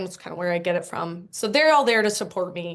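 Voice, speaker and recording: A woman speaks at a medium pitch. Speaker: company CEO, IT project manager. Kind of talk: interview. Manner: animated; loud.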